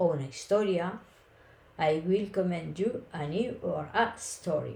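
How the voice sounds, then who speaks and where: A woman speaks in a Castilian accent with lively intonation. Her tone is dark and mellow, and somewhat breathy. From Spain. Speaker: Spanish teacher. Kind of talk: language lesson podcast. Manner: slow, clear.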